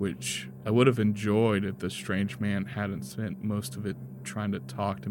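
The speaker uses a natural reading voice.

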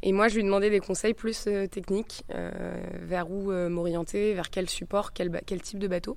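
In a very clean recording against a silent background, the speech unfolds at a fairly slow pace. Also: woman. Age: 20s. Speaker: sailor. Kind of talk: interview.

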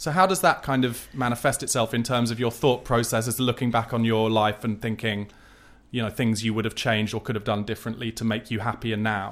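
A man with a normal speaking voice talks at a fairly quick pace. His pitch is medium and his intonation fairly even. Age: 40s. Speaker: podcast host. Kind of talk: interview. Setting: home conservatory.

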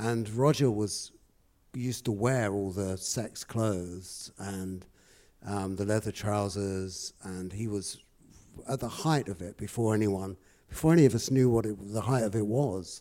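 His tone is dark and mellow, with fairly low pitch and ordinary pitch variation. The man keeps to a fairly slow pace. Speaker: audience guest recalling the gig. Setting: stage with audience. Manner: halting.

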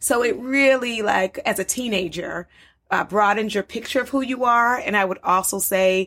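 A woman with an American accent speaks in a normal speaking voice at a moderate pace, with ordinary pitch variation. The recording is very clean, with a silent background. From US, Baltimore. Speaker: psychologist. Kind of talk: interview.

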